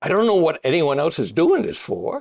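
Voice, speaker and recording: In a quiet background, a man talks at a high pitch. The sound is dry and close, with no echo. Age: old. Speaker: retired bond fund manager. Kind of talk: interview. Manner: halting.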